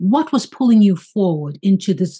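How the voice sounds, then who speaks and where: A somewhat breathy woman's voice over a quiet background. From St. Kitts, Caribbean. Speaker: podcast host, life coach. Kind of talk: casual interview chat. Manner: animated. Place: home room. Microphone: video call.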